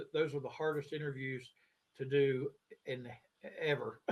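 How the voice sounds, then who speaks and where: The voice comes across as somewhat breathy. It carries an American accent. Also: man. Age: 60s. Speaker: sports show guest. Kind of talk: casual chat. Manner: halting, many fillers.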